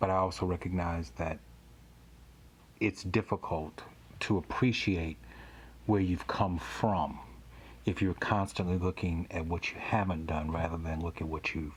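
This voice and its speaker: With an American accent, a man speaks at a very deep, low pitch and a moderate pace, his intonation fairly even. His voice is somewhat breathy, with long, frequent pauses. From US South, Louisiana (Baton Rouge). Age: 50s. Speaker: pastor and podcast host. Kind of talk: interview podcast.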